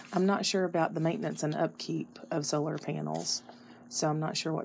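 A woman's moderately paced speech is heard against noticeable background noise. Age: 40s. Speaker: homeowner interviewee. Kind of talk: research interview.

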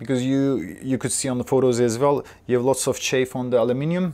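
Delivered at a fast pace, the voice has ordinary pitch variation and a slightly mellow tone. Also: man, medium pitch for a man.

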